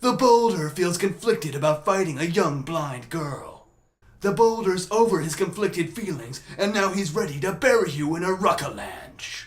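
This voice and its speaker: A man's put-on character voice, pitched high. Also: moderate pace. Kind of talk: character voice impressions.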